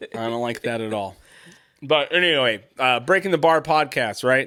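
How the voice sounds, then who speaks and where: A man's medium-pitched voice with a bright, sharp tone. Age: 40s. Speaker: parenting podcast host, construction worker. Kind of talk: casual chat.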